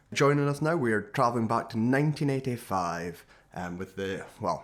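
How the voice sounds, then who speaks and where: A man with an Aberdeen accent, medium pitch and lively intonation. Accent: Scottish (Aberdeen). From Scotland, Aberdeen. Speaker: podcast host. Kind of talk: casual chat.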